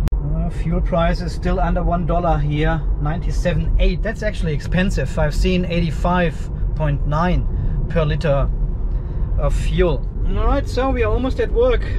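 Noticeable background noise runs beneath speech at a moderate pace. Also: man. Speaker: car owner vlogger. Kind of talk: casual vlog chat. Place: car. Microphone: phone near.

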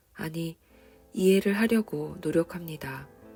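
With music in the background, a woman with a fairly low voice speaks in a calm tone at a fairly slow pace, her pitch varying in an ordinary way. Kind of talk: reflective personal commentary on a book, spoken to the listener. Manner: quiet, calm, soft-spoken.

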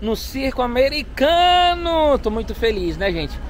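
A man's voice with very wide pitch swings, dry and echo-free, over light background noise. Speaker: vlogger. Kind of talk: casual vlog chat.

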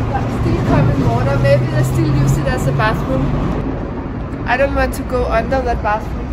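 A woman talks at a moderate pace. Loud background noise runs behind her. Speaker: travel vlogger. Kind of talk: casual vlog chat. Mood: cheerful, curious. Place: street. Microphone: phone near.

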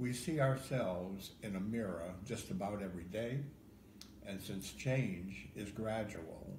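Noticeable background noise runs behind the speech. A man with a fairly low pitch talks at a fairly slow pace with lively intonation. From Ohio. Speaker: poet. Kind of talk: poetry reading. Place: home room. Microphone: phone near.

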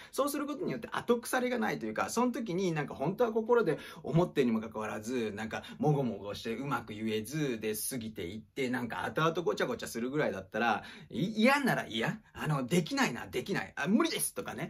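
A man with a fairly high voice talks at a fairly quick pace with hardly any pauses, his pitch swinging very widely. His voice is somewhat breathy, and the background is quiet. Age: 40s. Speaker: acting teacher and former actor; acting teacher. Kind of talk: casual monologue livestream. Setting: livestream recorded on iPad. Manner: polite, filler-heavy. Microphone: phone near.

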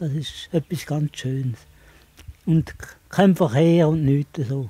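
A man's fairly high voice at a very slow pace with long, frequent pauses and ordinary pitch variation, in a dry, close sound with no echo. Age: 80s+. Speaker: retired hiker. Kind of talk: interview answer.

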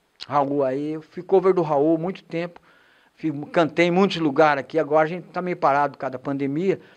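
The setting is silent. A male speaker moves fairly briskly, his intonation fairly level. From Brazil. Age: 60s. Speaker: singer-songwriter. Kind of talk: interview. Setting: studio. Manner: halting. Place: studio. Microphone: handheld.

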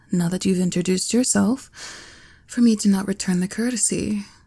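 A woman's medium-pitched voice, somewhat breathy, dark and mellow in tone, with ordinary pitch variation. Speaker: ASMR roleplay performer. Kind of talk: ASMR roleplay, scripted performance as a cruel, haughty empress, intimate and teasing. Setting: close-mic ASMR recording, listener addressed as nearby. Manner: imperious, haughty, dripping with condescension, with smug laughs and sighs; slow, sultry and teasing, shifting to indulgent purring when she feeds and praises him.

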